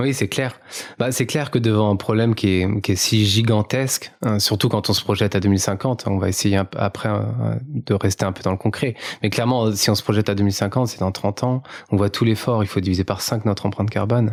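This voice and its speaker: A man talks at a fairly quick pace in a fairly low voice. His intonation is fairly even. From France, Paris region (near Melun). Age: 30s. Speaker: carbon footprint consultant, founder. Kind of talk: podcast interview. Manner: hesitant, many fillers.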